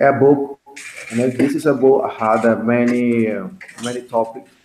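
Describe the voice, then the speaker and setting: A man speaks with a Spanish accent at a medium pitch. His intonation is fairly even. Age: 20s. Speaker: English teacher. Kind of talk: online class. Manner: halting.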